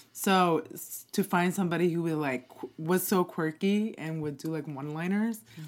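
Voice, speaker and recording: Heard in a very clean recording with a silent background, an ordinary speaking voice with an American accent moves at a moderate pace, with ordinary pitch variation and big swings in loudness. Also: woman, fairly low pitch for a woman. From Queens, New York. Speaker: podcast guest, host's roommate. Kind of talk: casual chat.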